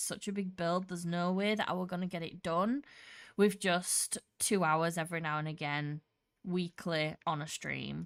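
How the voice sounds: Speaking at a moderate pace, a woman has a fairly low pitch and a clear, smooth, fairly bright tone.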